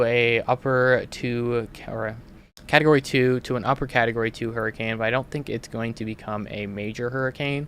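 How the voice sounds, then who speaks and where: A man with an American accent speaks at a moderate pace. His medium pitch has fairly even intonation, on a very clean recording with a silent background. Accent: sounds Canadian, per others. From Minnesota. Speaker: weather analyst and livestream host. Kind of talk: live weather commentary. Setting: livestream. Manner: casual, many fillers.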